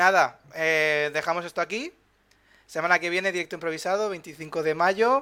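On a very clean recording with a silent background, a man speaks fairly slowly in a high, bright, sharp voice with ordinary pitch variation. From Valencia, Spain. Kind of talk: casual explanatory chat. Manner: halting, many repetitions.

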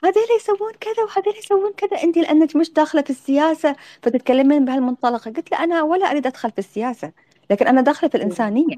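In an Emirati accent, a woman talks at a very fast pace with a high pitch, very wide pitch swings and a dark, mellow tone, the sound dry and close with no echo. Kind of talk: interview on audio live space. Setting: online audio room.

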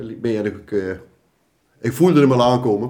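Dark, mellow male tones with ordinary pitch variation. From Gelderland, Netherlands (Oosthout, Betuwe). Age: 50s. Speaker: carnival prince. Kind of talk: casual chat. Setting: kitchen table.

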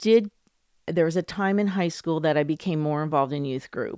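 A woman speaks at a fairly low pitch with ordinary pitch variation. The sound is dry and close, with no echo. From US, New Jersey and Tacoma, Washington. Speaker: guest sharing her faith testimony. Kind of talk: testimony.

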